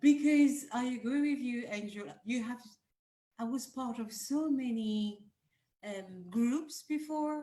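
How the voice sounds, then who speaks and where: With a French accent, a woman speaks very slowly in a high voice with a dark, mellow tone. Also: ordinary pitch variation. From France. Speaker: group panelist. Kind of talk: casual chat. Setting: video call.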